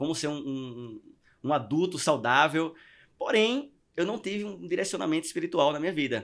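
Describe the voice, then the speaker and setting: A man's fairly high voice at a moderate pace with lively intonation, on a very clean recording with a silent background. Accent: strong northeastern Brazilian. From Northeast Brazil (Maceió, Alagoas). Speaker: podcast guest. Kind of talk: testimony. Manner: halting with repetitions.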